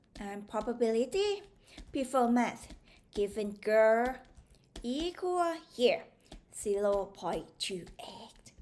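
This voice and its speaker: Speaking very slowly with long, frequent pauses, a woman with a Thai accent has a fairly high pitch, very wide pitch swings and big swings in loudness. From Thailand. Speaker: maths tutor. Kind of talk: tutorial. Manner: animated.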